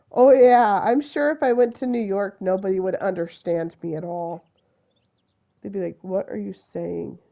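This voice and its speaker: A woman speaks in a Utah accent with lively intonation. Her loudness swings widely. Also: medium pitch for a woman, moderate pace. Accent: Utah accent, slurs words together. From US West, Utah (Salt Lake City). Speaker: video game streamer. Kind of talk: live gameplay commentary. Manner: words run together; animated.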